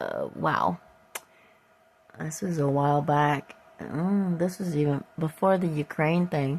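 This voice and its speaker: With an American accent, a woman of fairly low pitch speaks very slowly over noticeable background noise. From upstate New York. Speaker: vlogger. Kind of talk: casual vlog walkthrough. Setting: at home, outdoors in yard. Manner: halting, many fillers.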